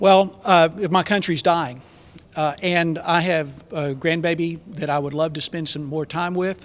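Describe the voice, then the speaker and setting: Speaking with a Texan accent, a man uses a high pitch and fairly even intonation at a moderate pace. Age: 60s. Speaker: political candidate. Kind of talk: panel discussion. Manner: halting, many fillers.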